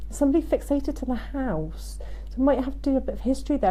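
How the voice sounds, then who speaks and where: Speaking at a fairly quick pace, a woman with a Devon accent comes through over noticeable background noise. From Devon, England. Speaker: psychic medium. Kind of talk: live stream reading. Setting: Facebook live stream.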